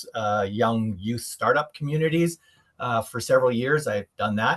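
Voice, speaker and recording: A man with a Canadian accent speaks at a moderate pace, medium in pitch with ordinary variation, and the sound is dry and close with no echo. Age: 60s. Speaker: retired investor. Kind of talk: interview. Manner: hesitant, many fillers.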